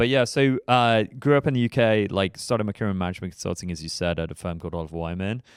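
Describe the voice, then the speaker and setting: A man talks at a very fast pace with hardly any pauses, his fairly low voice full of lively intonation. The recording is very clean with a silent background, and the sound is dry and close with no echo. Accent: English. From England, northwest London (Harrow). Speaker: startup investment platform executive. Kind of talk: podcast interview.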